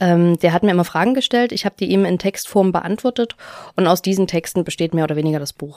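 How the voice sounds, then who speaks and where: Very fast and fairly low in pitch, a woman's voice shows ordinary pitch variation in a dry, close sound with no echo. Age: 20s. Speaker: author and former party official. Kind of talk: interview.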